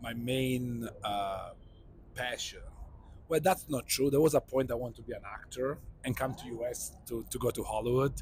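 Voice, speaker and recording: Somewhat breathy and at a medium pitch, a man with an Italian accent talks with fairly even intonation. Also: moderate pace. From Italy (Sicily). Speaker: neurosurgeon. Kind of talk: interview podcast.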